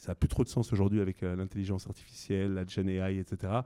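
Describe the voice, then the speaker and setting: A man's dark, mellow voice, fairly low in pitch, at a fairly quick pace. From southern France. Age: 40s. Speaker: entrepreneur. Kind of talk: live interview before an audience. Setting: stage with audience.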